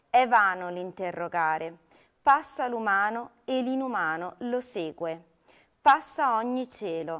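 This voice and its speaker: Over a quiet background, a woman with a fairly high pitch speaks very slowly in a solemn tone. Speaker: poetry reader. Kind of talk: poetry reading aloud, a lyrical elegiac poem addressed to a cloud. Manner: slow, solemn, contemplative, with long pauses and a wistful tone. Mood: calm, melancholic. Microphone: lapel.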